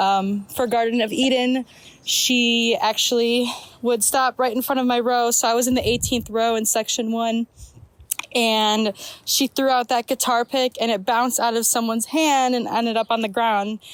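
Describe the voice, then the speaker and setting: With an American accent, a woman talks at a moderate pace in a fairly high pitch, her intonation monotone and flat and her loudness very even, in a dry, close sound with no echo. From Chicago area, US Midwest. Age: 20s. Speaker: listener sending voice memo. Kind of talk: voice memo.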